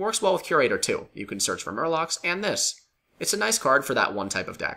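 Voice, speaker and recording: A man's voice shows vocal fry and very wide pitch swings. The recording is very clean, with a silent background. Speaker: card game video reviewer. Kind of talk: casual game commentary.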